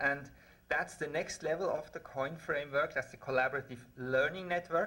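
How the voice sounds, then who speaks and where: A man with a Swiss accent, bright and sharp in tone, at a moderate pace with ordinary pitch variation. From Switzerland. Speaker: researcher. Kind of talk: conference talk.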